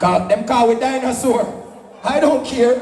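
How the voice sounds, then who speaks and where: There is audible room echo and noticeable background noise around this man. His pitch is extremely high with ordinary variation, and he talks at a fairly slow pace. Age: 70s. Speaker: sound system selector. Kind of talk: live dancehall MC talk. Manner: animated, shouting over music.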